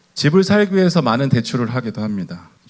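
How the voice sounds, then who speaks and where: The man's medium-pitched voice moves through very wide pitch swings. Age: 50s. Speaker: pastor. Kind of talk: sermon.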